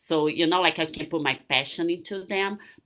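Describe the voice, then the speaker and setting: A woman with a Portuguese accent, very deep and low in pitch, bright and sharp in tone, at a moderate pace against a quiet background. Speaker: retired bikini competitor and coach. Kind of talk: casual interview chat.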